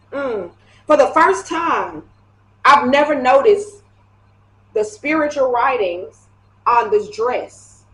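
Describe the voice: A woman's high-pitched, fairly bright voice, slow with long, frequent pauses and lively intonation.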